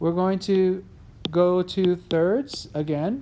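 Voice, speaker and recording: A woman's voice at a medium pitch. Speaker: teacher. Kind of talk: tutorial.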